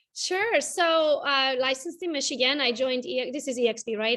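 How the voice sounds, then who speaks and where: Bright and sharp in tone, this voice with a Romanian accent moves at a very fast pace. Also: woman. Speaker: realtor and social media coach. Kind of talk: interview.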